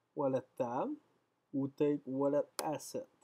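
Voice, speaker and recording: With a French accent, a man talks in a fairly high pitch, the sound dry and close with no echo. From France. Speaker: software developer streamer. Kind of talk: live coding stream. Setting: live stream. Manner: halting.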